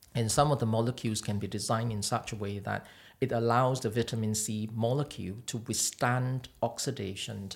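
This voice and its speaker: A man's medium-pitched, somewhat breathy voice at a moderate pace. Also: very clean recording, silent background. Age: 40s. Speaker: cosmetic doctor. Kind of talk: interview. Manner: halting.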